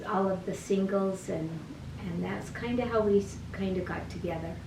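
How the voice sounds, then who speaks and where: Speech in an American accent with ordinary pitch variation, audible room echo and noticeable background noise. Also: woman. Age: 70s. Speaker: interviewee, grandmother. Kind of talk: interview.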